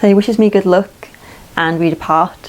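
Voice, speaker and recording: Fairly even intonation with an English accent. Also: woman. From England. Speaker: vlogger, hiker and traveller. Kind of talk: casual storytelling. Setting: indoors by a wood stove in a tiny house.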